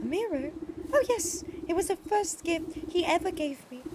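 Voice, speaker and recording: Putting on a squeaky, theatrical character voice, a woman talks at a moderate pace with an extremely high pitch. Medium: game stream. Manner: breathy, theatrical.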